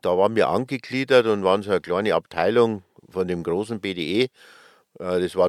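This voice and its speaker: In a Bavarian accent, the speaker goes at a fairly quick pace, the sound dry and close with no echo, on a very clean recording with a silent background. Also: man. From Upper Bavaria, Schliersee. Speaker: ski lift company manager. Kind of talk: interview. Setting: recording bus.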